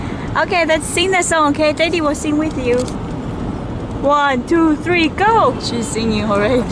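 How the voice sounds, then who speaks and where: The pace is fairly slow. The sound is dry with no echo, though noticeable background noise is present. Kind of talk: casual talk to a toddler. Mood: playful, encouraging. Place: car. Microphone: phone near.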